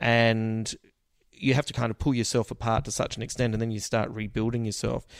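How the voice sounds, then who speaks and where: Speaking with an Australian accent, a man delivers his words at a fairly quick pace and medium pitch. His intonation is monotone and flat. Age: 40s. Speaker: comedian. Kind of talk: casual chat.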